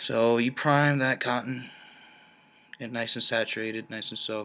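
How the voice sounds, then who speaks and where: Medium in pitch and bright, sharp in tone, a man's voice moves at a moderate pace. His intonation stays monotone and flat. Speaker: vaping hobbyist, military member. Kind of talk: tutorial. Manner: mumbling; casual, halting.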